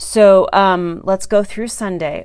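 A woman is speaking. The background is quiet. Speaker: direct sales consultant. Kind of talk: casual live-stream chat. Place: home room. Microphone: phone near.

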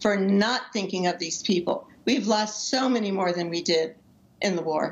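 The woman's pitch varies in an ordinary way while she keeps a moderate pace. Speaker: parent of a jailed marine officer. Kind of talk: interview. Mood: earnest, concerned, emotional. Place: home room. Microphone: video call.

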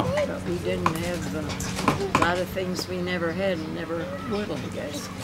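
Behind a woman, background noise is loud. She talks fairly slowly. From Canada. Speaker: elderly interviewee. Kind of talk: interview answer. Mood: warm, nostalgic storytelling. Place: garden.

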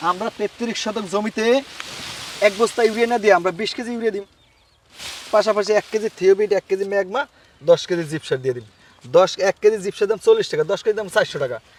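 A man's high-pitched voice with ordinary pitch variation, dry and close with no echo, over noticeable background noise. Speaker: grass farmer and cutting seller. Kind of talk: casual on-site interview.

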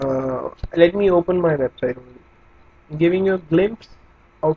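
Over noticeable background noise, a man with an Indian accent talks at a moderate pace in a high pitch with ordinary pitch variation. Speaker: digital marketing coach. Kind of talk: tutorial. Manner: casual, many hesitations.

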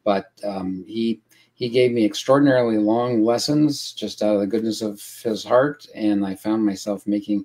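This man's tone is dark and mellow. He speaks at a moderate pace with ordinary pitch variation. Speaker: guest. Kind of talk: interview answer. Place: home room.

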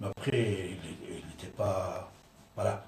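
There is audible room echo and light background noise as a man talks in a somewhat breathy voice. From Iran. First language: Persian (speaking French). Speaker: radio host; commentator. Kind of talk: radio talk show monologue. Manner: halting. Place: studio.

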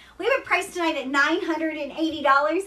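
A woman with an American accent and a high pitch speaks with lively intonation. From Kentucky, US South. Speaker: online seller of luxury bags. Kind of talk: live shopping stream. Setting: livestream. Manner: casual, chatty. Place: shop. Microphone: phone near.

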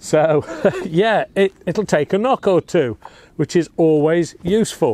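A man speaks at a high pitch in a dark, mellow tone with ordinary pitch variation. The recording is dry without echo. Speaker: air rifle reviewer. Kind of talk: product review tutorial. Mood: relaxed, upbeat. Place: garden.

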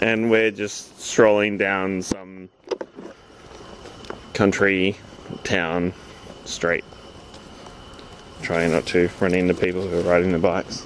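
Very slow and broken by long, frequent pauses, a man's very deep, low voice holds a monotone, flat intonation in a dry sound with no echo and light background noise. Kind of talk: casual vlog chat. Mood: amused, joking. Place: street. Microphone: phone near.

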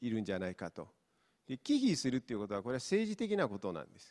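Against a quiet background, a man with a Mongolian accent speaks with lively intonation. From Inner Mongolia, China. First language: Mongolian (speaking Japanese). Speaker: professor; university professor. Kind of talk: lecture. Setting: stage with audience. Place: hall. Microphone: handheld.

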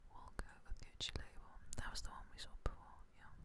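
The speaker whispers in a relaxed tone. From England. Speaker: ASMR creator. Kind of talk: ASMR whisper video. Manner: whispered, very quiet; soft-spoken, relaxed. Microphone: studio mic.

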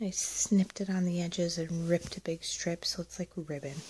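A soft-spoken voice talks at a moderate pace. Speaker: textile crafter. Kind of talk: soft spoken POV ramble. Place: home room. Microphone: phone near.

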